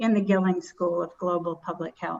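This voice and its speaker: A woman at medium pitch. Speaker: professor. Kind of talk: award introduction speech. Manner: fast.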